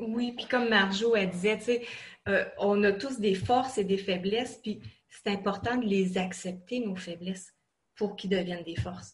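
A somewhat breathy woman speaks at a fairly slow pace with fairly even intonation. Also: medium pitch for a woman. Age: 40s. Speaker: online college student. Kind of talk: interview.

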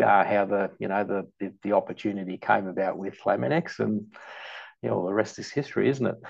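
With an Australian accent, a man talks at a fairly quick pace in a fairly low voice, using vocal fry and lively intonation. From Melbourne western suburbs, Australia (born in Malta, migrated at 7). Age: 40s. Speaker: long-serving company employee, sales account manager. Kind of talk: casual interview chat.

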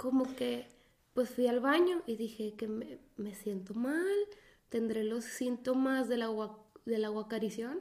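This woman speaks very slowly. Her pitch is fairly high. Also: ordinary pitch variation. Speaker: podcast co-host. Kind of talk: casual chat. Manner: quiet, subdued.

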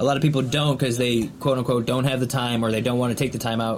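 There is noticeable background noise. A man speaks at a medium pitch with monotone, flat intonation. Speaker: podcast co-host. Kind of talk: casual chat.

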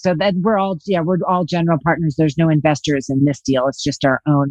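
At a fairly quick pace, a woman with an American accent speaks in an unremarkable speaking voice with ordinary pitch variation. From Los Angeles, California. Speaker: real estate investor. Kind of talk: interview.

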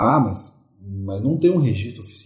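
A man's somewhat breathy voice at medium pitch, lively in intonation, at a moderate pace, with audible room echo. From Porto Alegre, southern Brazil. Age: 40s. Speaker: musician and ghost tour guide. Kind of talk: interview.

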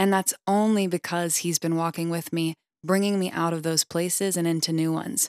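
A woman with an American accent talks at a fairly quick pace in an ordinary speaking voice, pitched fairly low. The sound is dry and close, with no echo. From US South. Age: 20s. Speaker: podcast host and singer-songwriter. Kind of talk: reading aloud. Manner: warm, upbeat.

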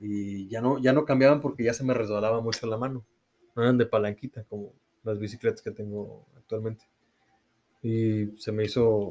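Keeping a fairly even intonation, a man talks at a moderate pace with a medium pitch. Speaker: cycling podcast co-host. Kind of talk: casual chat.

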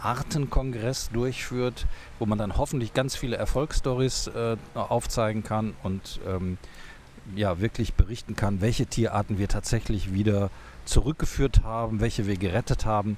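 An ordinary speaking voice from a man, medium in pitch, with ordinary pitch variation. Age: 60s. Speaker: zoo director. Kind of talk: casual interview. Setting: outdoors on a bench.

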